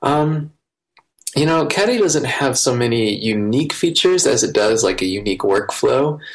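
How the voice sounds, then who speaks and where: Very wide pitch swings from a fairly high-pitched man at a moderate pace with very even loudness. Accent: American. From US Midwest, rural Iowa. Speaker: software developer. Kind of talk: interview.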